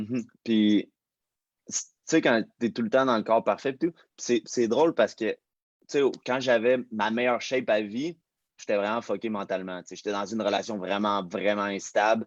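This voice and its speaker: In a Quebec accent, a man of medium pitch talks at a moderate pace with ordinary pitch variation and big swings in loudness, in a dry, close sound with no echo. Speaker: fitness personality. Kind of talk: casual interview. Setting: livestream.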